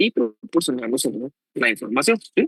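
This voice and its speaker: A man's normal speaking voice, fairly quick and with lively intonation, in a dry, close sound with no echo. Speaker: law professor. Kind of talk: lecture. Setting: online class.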